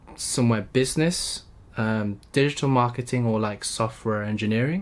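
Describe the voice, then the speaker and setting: Someone with a London accent talks at a moderate pace, the intonation fairly even. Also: man. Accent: British English (London). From UK. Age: 20s. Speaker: YouTuber, recent engineering graduate. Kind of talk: vlog monologue. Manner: halting, stuttering; casual, free-flowing.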